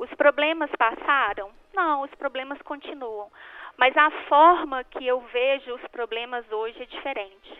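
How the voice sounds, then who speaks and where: This woman's high-pitched voice moves at a fairly slow pace, with big swings in loudness. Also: ordinary pitch variation. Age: 40s. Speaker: life coach. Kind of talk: radio interview.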